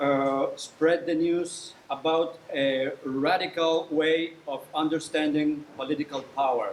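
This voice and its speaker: Noticeable background noise sits under a man with a Mexican accent who speaks very slowly in a fairly high, monotone, flat voice. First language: Spanish. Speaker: professor and political activist. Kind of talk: lecture. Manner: halting.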